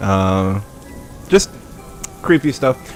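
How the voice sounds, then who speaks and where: A man at a very slow pace, relaxed in tone with lively intonation, music playing in the background. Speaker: aspiring voice-over narrator. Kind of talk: casual livestream talk. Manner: relaxed, conversational.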